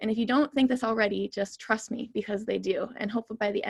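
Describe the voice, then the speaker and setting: Fairly quick speech comes from a woman with ordinary pitch variation. The sound is dry and close, with no echo. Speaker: geoscientist and science policy fellow. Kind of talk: online talk presentation. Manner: fast.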